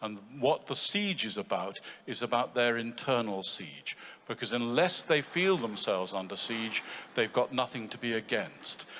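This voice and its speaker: A man with a British accent speaks at a medium pitch and a moderate pace with lively intonation. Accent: BBC English. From England. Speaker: conference participant. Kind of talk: audience comment in panel discussion. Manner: halting.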